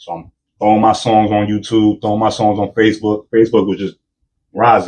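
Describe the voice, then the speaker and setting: A man in a New York accent talks at a fairly quick pace with a fairly low pitch. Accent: New York hip hop. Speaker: rapper. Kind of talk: casual chat. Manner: animated.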